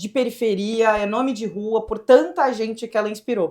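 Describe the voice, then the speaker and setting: This woman speaks with a southern Brazilian accent at a fairly high pitch. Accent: gaúcho. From southern Brazil, Rio Grande do Sul (Pelotas). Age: young. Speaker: state government secretary, former tech executive. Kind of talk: podcast interview. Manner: animated.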